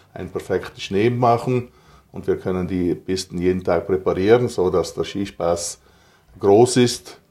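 Recorded very cleanly against a silent background, a man with a dark, mellow, fairly low voice speaks at a fairly slow pace with ordinary pitch variation. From South Tyrol, Italy. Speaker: ski resort operator and snowmaking entrepreneur. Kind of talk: interview. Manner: halting with frequent fillers.

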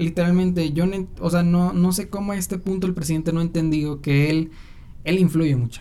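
Speaking at a fairly quick pace, this man has a high pitch and a dark, mellow tone. He talks with a Mexican accent. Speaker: podcast host. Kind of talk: casual solo commentary. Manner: animated.

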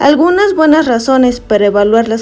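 Amid noticeable background noise, a woman talks at a moderate pace with a high pitch and lively intonation. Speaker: special education graduate. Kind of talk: scripted narration.

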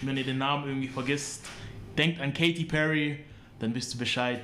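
A man speaks in a fairly high voice, with audible room echo around him. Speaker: podcast host. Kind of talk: casual chat. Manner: animated.

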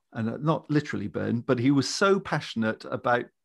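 An unremarkable speaking voice from a man, fairly high in pitch, at a fairly quick pace over a quiet background. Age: 60s. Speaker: leadership trainer and business founder. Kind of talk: casual interview chat.

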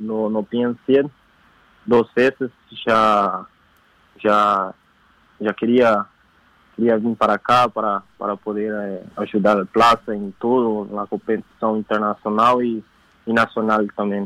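A man with a Portuguese accent, fairly low in pitch, flat and monotone, very slow with long, frequent pauses, in a dry, close sound with no echo. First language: Portuguese (speaking Spanish). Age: 20s. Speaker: footballer. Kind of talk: phone interview. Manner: halting.

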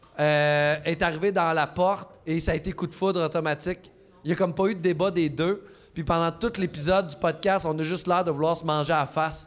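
A man speaks fairly quickly in a high voice with fairly even intonation. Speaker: comedian. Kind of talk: casual chat. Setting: stage with audience.

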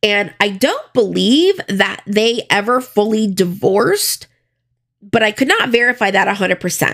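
At a moderate pace, a woman with an American accent and an unremarkable speaking voice talks at a fairly high pitch, with ordinary pitch variation and very even loudness. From US South, Florida (Broward County). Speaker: true crime podcaster. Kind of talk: casual solo narration with commentary. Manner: conversational, informal.

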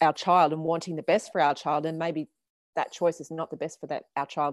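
With an Australian accent and a very deep, low pitch, a woman speaks on a very clean, dry recording with a close sound, no echo and a silent background. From Australia, Canberra. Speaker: podcast host, surf coach. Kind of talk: interview.

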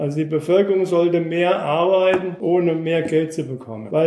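The man's tone is dark and mellow, and he speaks at a moderate pace. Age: 60s. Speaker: former East German dissident, contemporary witness. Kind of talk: explanatory lecture.

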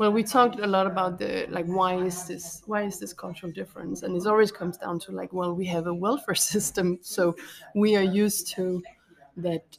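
Over noticeable background noise, a woman speaks at medium pitch and a fairly quick pace with fairly even intonation. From Copenhagen, Denmark. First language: Danish. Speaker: art teacher and artist. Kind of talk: casual interview.

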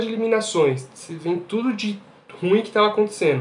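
A man speaks in a high voice. Noticeable background noise is present. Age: 20s. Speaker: podcast panelist, engineering student. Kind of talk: casual chat.

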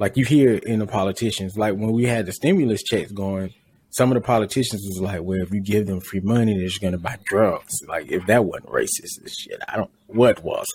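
This man has a plain, everyday voice with an American accent and fairly low pitch. He moves at a fairly quick pace with fairly even intonation. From rural US. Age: 30s. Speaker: podcast host. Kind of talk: casual chat.

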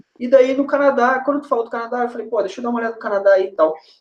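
A man's voice at an extremely high pitch. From Brazil, moved between Niterói, Porto Alegre and Curitiba. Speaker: former footballer, US college soccer advisor. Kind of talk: casual chat. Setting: video call livestream.

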